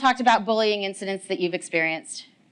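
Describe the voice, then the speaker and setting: This woman's pitch rises and falls across a very wide range. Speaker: agile coach. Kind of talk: conference talk. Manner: usually fast talker.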